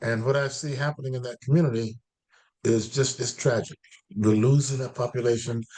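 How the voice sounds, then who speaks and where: A man with an American accent talks at a fairly quick pace. His voice is somewhat breathy, with a dark, mellow tone and medium pitch. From US South, Florida. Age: 80s+. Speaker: professor and historian. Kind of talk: interview. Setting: video call. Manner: halting.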